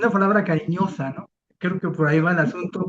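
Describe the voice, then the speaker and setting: A man's high-pitched voice at a moderate pace. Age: 60s. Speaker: recovery group member. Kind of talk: sharing at a support group. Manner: halting, repeats words.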